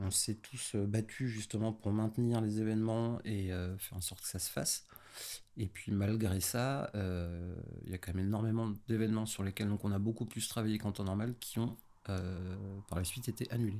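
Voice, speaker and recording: A man speaks at a fairly low pitch in a dark, mellow tone. His pace is moderate and his intonation fairly even, on a very clean recording with a silent background. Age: 30s. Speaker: stage manager. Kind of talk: casual chat. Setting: in person at host's home.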